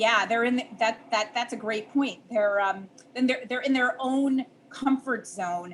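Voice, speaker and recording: This woman has a Chicago accent and a fairly high pitch. She talks at a fairly slow pace with fairly even intonation. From US Midwest, Chicago. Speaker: dietitian and diabetes educator. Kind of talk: podcast interview.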